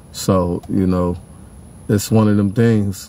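In an American accent, a man speaks at a fairly slow pace with fairly low pitch, in a dry sound with no echo. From Pasadena, California. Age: 40s. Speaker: YouTuber and musician. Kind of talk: casual sports monologue. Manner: animated. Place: car. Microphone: phone near.

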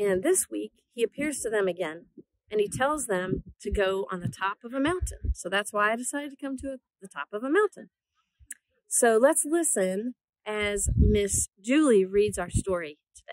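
Loudness swings widely as a woman speaks with lively intonation at a moderate pace. The sound is dry with no echo. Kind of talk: casual talk to children. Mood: cheerful, warm. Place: open country. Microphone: phone near.

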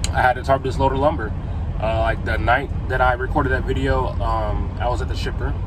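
A man's speech, dry and without echo, comes through noticeable background noise. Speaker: truck driver vlogger. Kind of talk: casual vlog chat. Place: car. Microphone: phone near.

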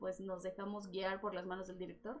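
Noticeable background noise surrounds a woman speaking with a Mexican accent. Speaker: voice actor. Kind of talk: casual chat.

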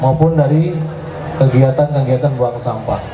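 With noticeable background noise behind him, a man talks at a moderate pace. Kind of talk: public speech. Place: stage.

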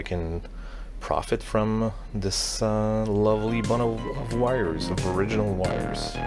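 Faint noise sits in the background. The voice belongs to a man. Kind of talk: tutorial. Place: workshop.

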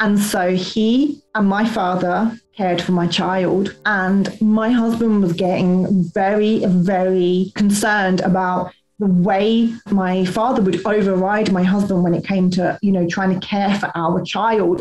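Speaking fairly slowly, a woman keeps a monotone, flat intonation. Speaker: guest. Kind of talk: personal testimony. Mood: serious, reflective. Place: home room. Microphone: webcam.

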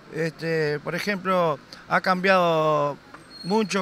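A man with a Uruguayan accent speaks at a high pitch in a bright, sharp tone with fairly even intonation. The sound is dry with no echo, with light background noise. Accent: Rioplatense Spanish (Uruguayan). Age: 40s. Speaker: passer-by interviewee; interviewee. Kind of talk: street interview. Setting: outdoors in a city square. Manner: halting, many fillers. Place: street. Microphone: handheld.

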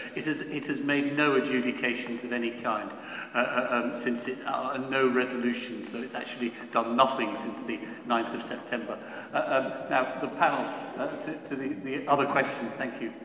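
A man speaks at a moderate pace in a monotone, flat intonation, with audible room echo and light background noise. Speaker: panel chair, lawyer. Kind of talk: panel Q&A moderation. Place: hall. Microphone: podium.

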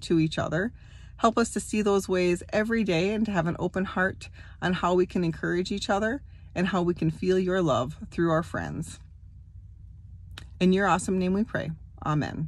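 A woman's somewhat breathy voice at a moderate pace, with fairly even intonation, long, frequent pauses, and a dry sound with no echo. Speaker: church children's teacher. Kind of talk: prayer and address to children. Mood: warm, gentle. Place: car. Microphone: phone near.

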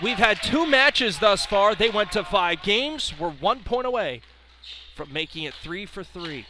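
A man speaks at a moderate pace in a raised, projected voice at a high pitch, with very wide pitch swings and big swings in loudness, in a dry sound with no echo and light background noise. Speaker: play-by-play broadcaster. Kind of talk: live sports commentary in a demo reel. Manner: rising, punchy calls at big moments. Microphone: headset.

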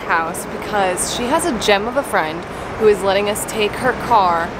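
A woman talks over loud background noise. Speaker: vlogger. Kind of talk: casual vlog chat. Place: garage. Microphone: phone near.

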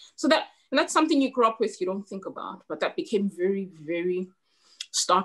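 Against a quiet background, a woman's pitch swings very widely. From Zimbabwe. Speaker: novelist; guest. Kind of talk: author interview with reading aloud. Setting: webinar video call. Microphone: video call.

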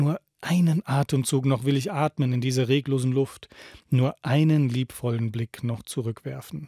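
A man speaks in a solemn, dark and mellow tone, somewhat breathy, with fairly even intonation. The sound is dry with no echo and the background quiet. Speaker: radio host reading a book aloud. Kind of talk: dramatic literary reading aloud, solemn poetic narration of a prophet's speech. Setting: radio studio broadcast. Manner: slow, solemn, expressive, emphatic delivery with pauses. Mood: calm, solemn, poetic delivery. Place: studio. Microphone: studio mic.

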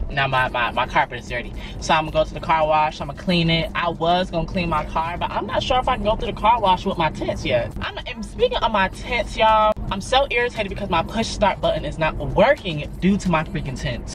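Over faint background music, a man talks at a fairly quick pace with hardly any pauses, in a dry sound with no echo. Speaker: vlogger. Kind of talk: casual vlog chat. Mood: irritated, animated. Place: car. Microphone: phone near.

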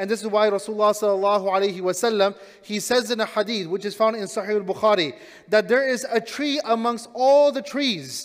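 Ordinary pitch variation from a man at a fairly quick pace. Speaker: imam giving talk. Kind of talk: sermon. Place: church. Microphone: headset.

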